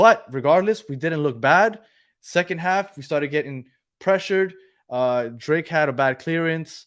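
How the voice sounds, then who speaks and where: In a very clean recording with a silent background, a man with a fairly high pitch speaks at a moderate pace with ordinary pitch variation. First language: Spanish. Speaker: football podcast co-host. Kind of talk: live postgame stream chat.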